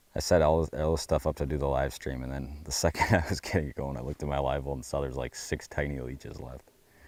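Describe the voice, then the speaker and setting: Very fast, with hardly any pauses, from a man at a very deep, low pitch, with vocal fry and fairly even intonation. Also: very clean recording, silent background. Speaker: fishing content creator. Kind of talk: live stream fishing commentary.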